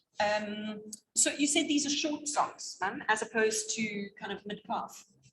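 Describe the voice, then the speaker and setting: A woman talks with an unremarkable speaking voice. Her pitch is fairly high and varies in an ordinary way. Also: moderate pace. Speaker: yarn shop host. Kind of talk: live online knitting show.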